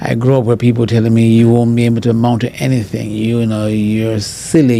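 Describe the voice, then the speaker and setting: A man's medium-pitched speech comes through with noticeable background noise. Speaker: professor. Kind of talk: interview. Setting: podcast. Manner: halting.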